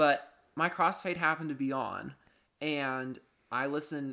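In a very clean recording with a silent background, a man with an American accent speaks at a fairly slow pace and a medium pitch. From Florida. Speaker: guest, music fan. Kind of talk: casual chat.

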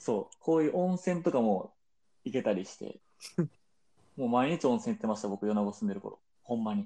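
A man's dark, mellow voice at a fairly quick pace, with very wide pitch swings and long, frequent pauses. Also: medium pitch for a man. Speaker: podcast co-host. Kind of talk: casual chat.

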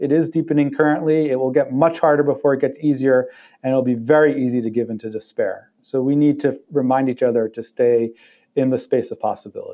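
Fairly even intonation and a fairly quick pace in a normal speaking voice. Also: man, fairly high pitch for a man. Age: 40s. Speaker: non-profit executive director. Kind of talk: interview conversation.

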